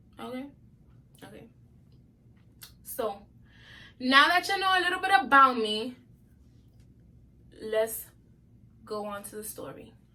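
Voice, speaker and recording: A raised, projected voice in a bright, sharp tone at a fairly slow pace, with very wide pitch swings, big swings in loudness and long, frequent pauses. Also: woman, high pitch for a woman. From New York, Brooklyn. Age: 20s. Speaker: YouTuber. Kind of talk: casual vlog storytelling.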